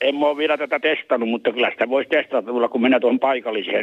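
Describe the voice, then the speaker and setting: A man's voice with ordinary pitch variation. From Ostrobothnia, Finland. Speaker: caller. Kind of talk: phone-in call.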